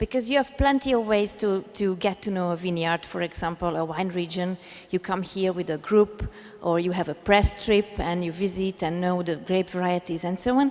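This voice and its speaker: Music in the background behind a woman with a Hungarian accent, medium pitch, ordinary pitch variation and a moderate pace. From Hungary. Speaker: wine blogger. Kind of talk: personal storytelling to live audience. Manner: hesitant, with pauses.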